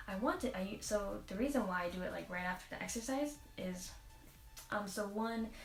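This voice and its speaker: A woman speaking at a fairly quick pace, with audible room echo and music in the background. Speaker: vlogger. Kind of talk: casual vlog monologue. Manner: fast.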